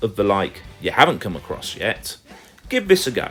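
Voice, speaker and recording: With music in the background, a man with an English accent speaks in very wide pitch swings. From England. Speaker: gaming YouTuber. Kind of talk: video game review list.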